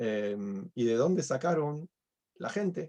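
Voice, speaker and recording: With a Uruguayan accent, a man speaks using lively intonation. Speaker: rabbi teaching a class. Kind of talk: online lecture.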